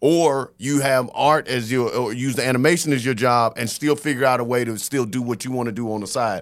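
A man with an American accent and an ordinary speaking voice, fairly quick and with hardly any pauses, his intonation fairly even, on a very clean recording with a silent background. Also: medium pitch for a man. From US South. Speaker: comedian. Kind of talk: casual chat.

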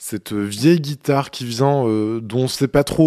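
The recording has a dry, close sound with no echo and a quiet background, as a man speaks at a medium pitch with ordinary pitch variation. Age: 20s. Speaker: musician and podcaster. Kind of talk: personal audio diary monologue. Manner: halting.

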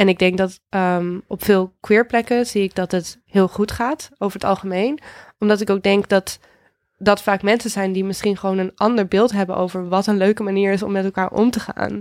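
A woman with a plain, everyday voice, medium-pitched, at a moderate pace with fairly even intonation, on a very clean recording with a silent background and a dry, close sound with no echo. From Netherlands, Houten near Utrecht. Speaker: DJ and music journalist. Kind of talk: podcast interview. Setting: studio.

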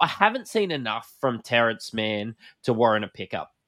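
A strong Australian accent with lively intonation, on a very clean recording with a silent background. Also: man, dry, close sound with no echo. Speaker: podcast host. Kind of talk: casual chat. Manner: casual, joking.

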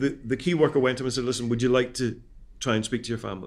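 A man with a medium-pitched voice talks very fast, keeping his intonation fairly even. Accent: Scottish. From Scotland. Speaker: ex-prisoner and prison reform campaigner. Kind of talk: interview. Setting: studio.

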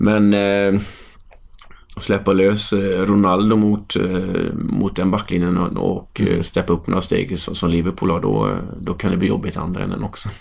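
In a monotone, flat delivery, a man speaks at a moderate pace with a very deep, low pitch. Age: 30s. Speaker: football coach. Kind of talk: casual chat.

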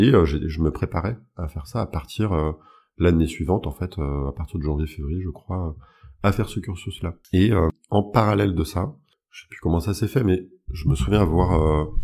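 A man's very deep, low voice, dark and mellow in tone and somewhat breathy, with ordinary pitch variation, a moderate pace and big swings in loudness. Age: 30s. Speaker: hypnosis practitioner. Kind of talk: interview. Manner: hesitant with fillers.

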